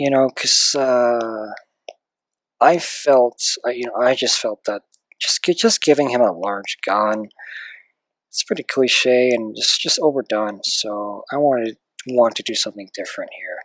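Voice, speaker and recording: Long, frequent pauses break up speech that runs at a fairly slow pace. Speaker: digital artist. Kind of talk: live drawing commentary. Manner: hesitant.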